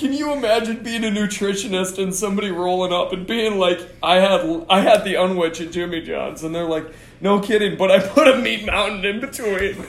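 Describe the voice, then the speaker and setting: An animated, high-pitched man at a fairly quick pace, ordinary pitch variation, noticeable background noise behind him. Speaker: podcast host. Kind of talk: casual banter. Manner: joking, animated.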